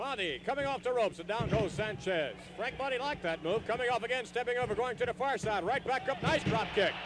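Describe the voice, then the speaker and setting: Lively intonation and a fairly quick pace come through a dry recording with no echo, though background noise is noticeable. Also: man. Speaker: wrestling commentator. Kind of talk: live wrestling play-by-play commentary. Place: hall.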